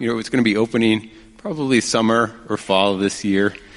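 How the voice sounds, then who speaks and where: A man speaks at a medium pitch. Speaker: missionary, film ministry. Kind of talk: church interview.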